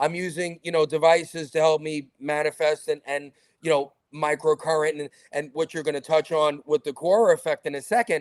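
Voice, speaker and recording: A man with a New York accent talks at a fairly high pitch. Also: fairly quick pace, dry, close sound with no echo, very clean recording, silent background. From New York, Brooklyn. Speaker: talk show host. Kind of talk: interview conversation. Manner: animated.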